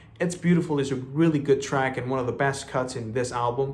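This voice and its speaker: Somewhat breathy and animated, the voice moves at a fairly quick pace in a Spanish accent, with audible room echo. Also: man. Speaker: music reviewer. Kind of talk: album review. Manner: casual, animated.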